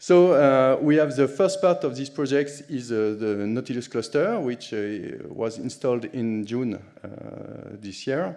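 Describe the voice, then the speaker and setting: A man with a French accent, medium pitch, lively intonation and a fairly slow pace, in audible room echo. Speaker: conference speaker, HPC sysadmin. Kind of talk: conference talk. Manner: halting, many fillers.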